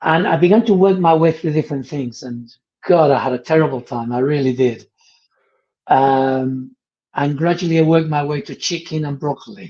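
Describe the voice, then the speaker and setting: A man's fairly high, dark, mellow voice at a moderate pace with ordinary pitch variation. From Spain. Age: 70s. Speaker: podcast host. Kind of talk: casual interview chat. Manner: hesitant, many fillers.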